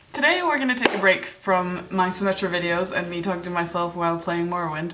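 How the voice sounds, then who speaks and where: A woman's fairly low, animated voice at a very fast pace, with ordinary pitch variation, audible room echo and noticeable background noise. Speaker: YouTuber, gamer. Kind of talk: casual vlog. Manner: animated, filler-heavy.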